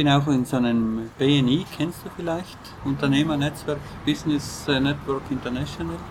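A man speaks in a South Tyrolean accent. Background noise is noticeable. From South Tyrol, Ahrntal. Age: 40s. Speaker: organic farmer. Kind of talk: interview. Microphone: poor audio quality.

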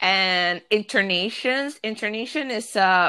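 A woman with a Spanish accent, medium in pitch with ordinary pitch variation, at a fairly slow pace. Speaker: podcaster. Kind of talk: casual chat.

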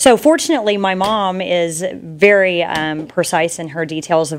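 With an American accent, a woman talks in a plain, everyday voice at a fairly low pitch, a fairly slow pace and ordinary pitch variation. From South Texas. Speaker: real estate agent. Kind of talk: interview. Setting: studio.

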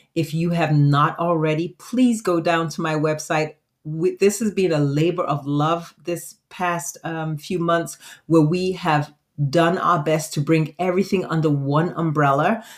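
A woman's fairly slow delivery with fairly even intonation. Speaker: physician and podcast host. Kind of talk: solo podcast monologue. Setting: recording studio. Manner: casual, unscripted.

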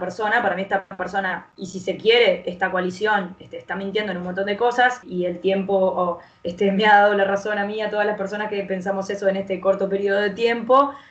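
A woman talks fairly quickly at a medium pitch with fairly even intonation. Noticeable background noise is present. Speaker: rapper and singer. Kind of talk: casual interview.

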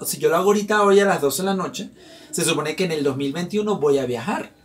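Over noticeable background noise, a man with a high-pitched voice talks at a moderate pace in an animated tone. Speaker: podcast host. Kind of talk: casual chat.

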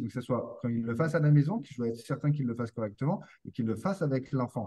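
Speaking at a very fast pace, a man with a fairly high pitch and a dark, mellow, somewhat breathy tone shows ordinary pitch variation. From France. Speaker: posturology and neurotherapy practitioner for children. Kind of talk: interview conversation.

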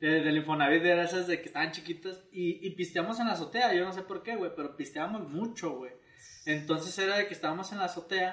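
A man with a high voice and a Mexican accent, talking very fast with hardly any pauses, ordinary pitch variation, and noticeable background noise. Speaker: comedy video creator. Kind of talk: casual chat.

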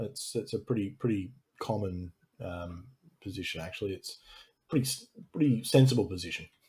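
With a dark, mellow tone and a somewhat breathy sound, a man speaks at a fairly quick pace and fairly low pitch, using lively intonation, big swings in loudness, and long, frequent pauses. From Australia. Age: 40s. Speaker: YouTube channel host, former ministry student. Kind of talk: interview subject in live-stream conversation. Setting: live stream video call.

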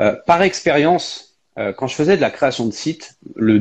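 Over a quiet background, a man with vocal fry talks at a moderate pace, his fairly high pitch swinging very widely. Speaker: live stream host. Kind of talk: casual chat. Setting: video call.

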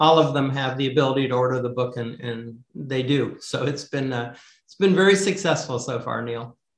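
Speaking at a moderate pace in an unremarkable speaking voice, a man keeps a medium pitch with ordinary variation while his loudness swings widely. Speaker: author. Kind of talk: casual interview.

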